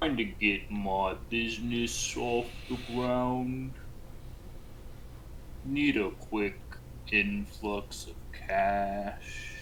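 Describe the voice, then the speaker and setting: A man puts on a character voice, fairly low in pitch, speaking at a very slow pace with long, frequent pauses against clear background noise. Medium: actual play. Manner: cocky.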